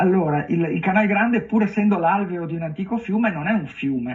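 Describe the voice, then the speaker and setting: A man is speaking. He has a slight Venetian accent. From Venice, Italy. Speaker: writer. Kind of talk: TV interview. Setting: live streamed TV interview. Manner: halting, many fillers.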